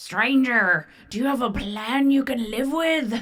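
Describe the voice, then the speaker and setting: A woman puts on a character voice, pitched high. She speaks at a fairly slow pace. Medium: read story. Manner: slurring, preachy.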